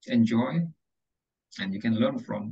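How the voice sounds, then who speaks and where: Vocal fry marks this man's voice, which swings very widely in pitch. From Java, Indonesia. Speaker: English tutor and public speaking trainer. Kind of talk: online class presentation. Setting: video call.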